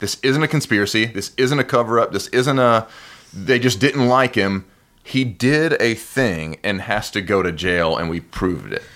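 In a very clean recording with a silent background, a man with an American accent speaks at a moderate pace. He has a medium pitch, lively intonation and a normal speaking voice. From US South. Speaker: podcast co-host. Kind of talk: casual chat.

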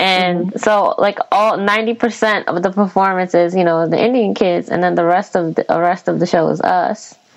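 Using a normal speaking voice, a woman talks at a fairly quick pace and medium pitch, with very even loudness and fairly even intonation. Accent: American. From US (Filipino American). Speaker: podcast host. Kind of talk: casual chat.

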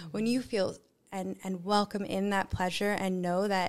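A woman's normal speaking voice at medium pitch and a moderate pace. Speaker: cacao ceremony guide and yoga teacher. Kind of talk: casual podcast interview.

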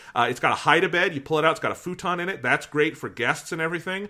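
The recording is very clean, with a silent background. A man speaks in a bright, sharp tone. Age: 20s. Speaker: podcast host. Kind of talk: casual chat.

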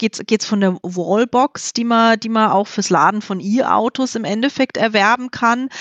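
Her fairly high pitch and ordinary pitch variation mark this woman's a normal speaking voice, delivered at a moderate pace. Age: 40s. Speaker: HR specialist. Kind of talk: podcast interview.

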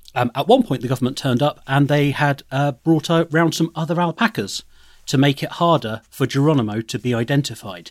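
Delivered at a fairly quick pace in an English accent, the speech has lively intonation and a dry, close sound with no echo. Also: man, fairly high pitch for a man. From England. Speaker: comedy producer. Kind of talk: casual chat. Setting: remote call.

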